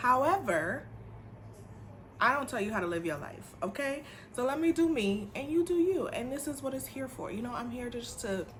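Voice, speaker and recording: The speaker moves at a moderate pace with very wide pitch swings. Noticeable background noise and audible room echo fill the recording. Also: woman, high pitch for a woman. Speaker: teacher and beauty vlogger. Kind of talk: casual vlog haul review. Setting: home apartment.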